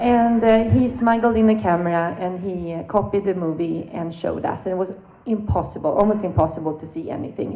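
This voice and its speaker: Speaking at a fairly quick pace, a woman with a Swedish accent and a fairly low pitch is heard with audible room echo. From Sweden. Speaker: swing dancer, panelist. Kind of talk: panel talk, personal storytelling.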